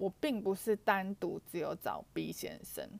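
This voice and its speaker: A woman's voice at medium pitch. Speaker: podcaster. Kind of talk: personal storytelling monologue. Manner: halting, many fillers.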